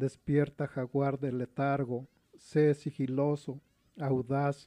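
Monotone, flat delivery in a dark, mellow tone with a Mexico City accent, dry and close with no echo against a quiet background. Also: man. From Mexico City (Iztapalapa). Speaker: poet and painter. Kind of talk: poetry reading.

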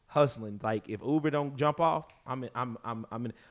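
A man with an American accent, medium pitch, ordinary pitch variation, an animated tone and a fairly quick pace. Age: 30s. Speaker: podcast co-host, businessman. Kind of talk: casual chat.

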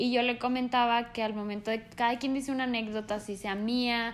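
A woman's normal speaking voice with fairly high pitch. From Mexico. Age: 20s. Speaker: podcast co-host. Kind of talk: casual chat. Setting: no studio, ambient sounds.

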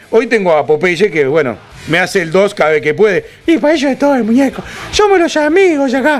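The voice moves at a fairly quick pace with very wide pitch swings over noticeable background noise. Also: man, high pitch for a man. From Uruguay (Florida department). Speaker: radio host. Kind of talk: casual chat. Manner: animated.

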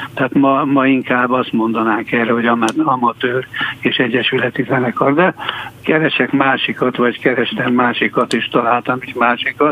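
A man's medium-pitched voice, flat and monotone, over noticeable background noise. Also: moderate pace. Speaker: journalist. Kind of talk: radio interview. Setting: studio. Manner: halting.

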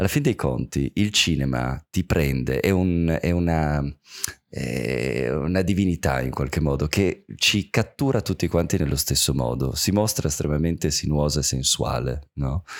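At a fairly slow pace, a man talks with a very deep, low pitch and very even loudness. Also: ordinary pitch variation. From Turin, northern Italy. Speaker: film director. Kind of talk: casual chat. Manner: animated, halting.

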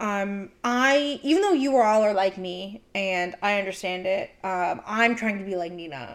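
A woman with a plain, everyday voice, medium pitch, ordinary pitch variation, and a fairly slow pace with hardly any pauses. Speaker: podcast host. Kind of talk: casual chat.

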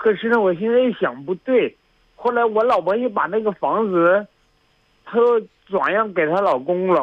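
This man talks at a moderate pace in a high pitch, with lively intonation. His loudness stays very even, broken by long, frequent pauses. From Northeast China. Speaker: radio show caller. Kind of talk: phone-in conversation. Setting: phone call. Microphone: line dropping out.

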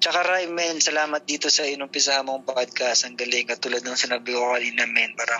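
With noticeable background noise behind him, a man talks fairly quickly at a medium pitch, his intonation fairly even. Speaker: tattoo artist. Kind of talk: casual interview.

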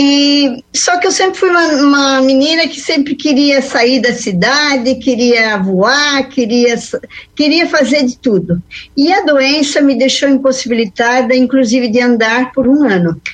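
A high-pitched woman with lively intonation and a fairly slow pace. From western Santa Catarina, Brazil. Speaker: mentor and speaker. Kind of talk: radio interview.

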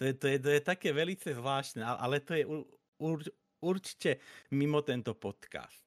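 A man speaks at a fairly slow pace, with a dry, close sound and no echo. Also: very clean recording, silent background. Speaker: podcast host and streamer. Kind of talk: casual chat. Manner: halting, stuttering repetitions.

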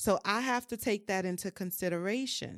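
The recording is very clean, with a silent background and a dry, close sound with no echo. A woman with a New Orleans accent speaks at a medium pitch with ordinary pitch variation. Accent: New Orleans Southern US. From US South, New Orleans. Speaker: mental health and wellness creative. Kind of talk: casual chat.

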